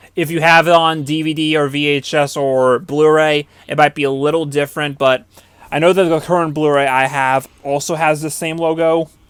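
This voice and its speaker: A fairly high male voice in a flat monotone at a moderate pace, with noticeable background noise. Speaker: podcast host. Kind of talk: movie commentary. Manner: stuttering; casual.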